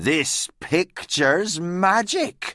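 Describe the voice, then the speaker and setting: A man uses a put-on character voice with a high pitch. The recording is very clean with a silent background, and the sound is dry and close, with no echo. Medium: read story. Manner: solemn, instructive.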